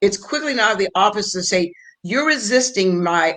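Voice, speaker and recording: Here a woman has an unremarkable speaking voice at a medium pitch. She talks at a moderate pace with lively intonation. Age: 60s. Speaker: former prosecutor, legal guest. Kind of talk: round table legal discussion.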